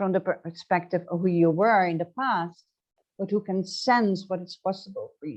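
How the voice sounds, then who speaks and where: There is a quiet background as a woman speaks with a Dutch accent. Her pitch is medium and her pace fairly slow. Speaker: transformational coach. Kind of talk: interview. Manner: halting.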